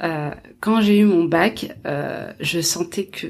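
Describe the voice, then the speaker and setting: Speaking at a very slow pace, a woman uses a fairly low pitch. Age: 20s. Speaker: chef and entrepreneur. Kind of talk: interview.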